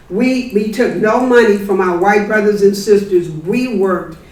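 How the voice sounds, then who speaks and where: With audible room echo and noticeable background noise, a woman of medium pitch speaks at a fairly slow pace with ordinary pitch variation. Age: 70s. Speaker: community activist. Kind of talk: audience comment at book talk.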